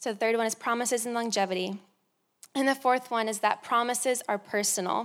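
A woman with an American accent and a plain, everyday voice speaks fairly quickly at a fairly high pitch with fairly even intonation, on a very clean recording with a silent background. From Florida. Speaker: youth pastor. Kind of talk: sermon. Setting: staff meeting.

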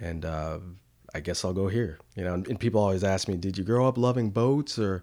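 A man's dark, mellow voice in an American accent, fairly low in pitch and fairly quick, with ordinary pitch variation, on a very clean recording with a silent background. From Connecticut, US. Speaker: chef and food truck owner. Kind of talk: casual chat. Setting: home studio.

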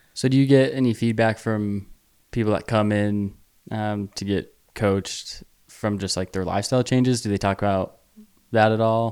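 In a very clean recording with a silent background, a man with a plain, everyday voice and an American accent talks at a moderate pace, fairly low in pitch with fairly even intonation. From small-town Idaho. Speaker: podcast host. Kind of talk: casual chat.

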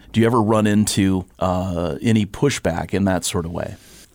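This man has an ordinary speaking voice. Its pitch is fairly low, with ordinary pitch variation. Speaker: podcast engineer and host. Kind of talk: interview.

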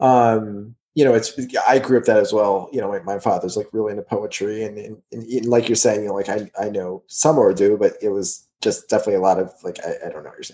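Big swings in loudness, a fairly quick pace and an American accent. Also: man. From Texas. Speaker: podcast host. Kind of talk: casual chat.

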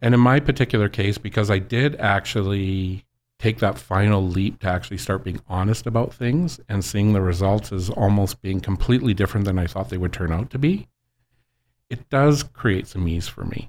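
A man's plain, everyday voice, fairly low in pitch, with lively intonation at a moderate pace, in a very clean recording with a silent background. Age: 50s. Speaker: former inmate sharing his story. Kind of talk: interview testimony.

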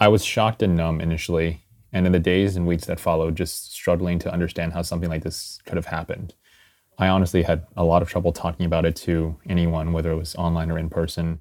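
A man with an American accent talks at a very fast pace in a very deep, low, monotone voice with flat intonation, on a very clean recording with a silent background. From US. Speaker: software engineer. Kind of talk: personal testimony.

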